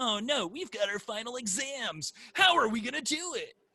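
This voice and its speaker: A cartoonish character voice with a fairly high pitch. It moves at a moderate pace. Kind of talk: high-pitched anime style. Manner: anxious exaggerated.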